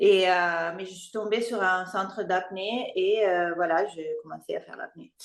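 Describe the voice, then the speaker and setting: A woman's medium-pitched voice with an Italian accent, at a very slow pace. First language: Italian (speaking French). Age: 40s. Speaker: freediver. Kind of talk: interview. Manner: halting.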